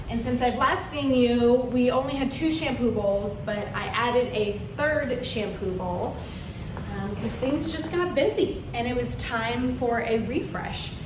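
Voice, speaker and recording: Over noticeable background noise and audible room echo, a woman speaks fairly slowly in a high pitch with ordinary pitch variation. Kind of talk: casual tour guide chat. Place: shop. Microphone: phone near.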